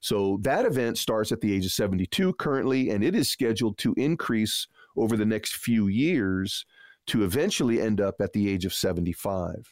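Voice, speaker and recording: An unremarkable speaking voice with lively intonation and very even loudness moves at a moderate pace, its sound dry and close with no echo on a very clean recording with a silent background. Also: man, fairly low pitch for a man. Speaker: financial advisor radio host. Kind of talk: radio financial advice show with a pitch to call in. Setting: studio. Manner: warm, upbeat, salesy.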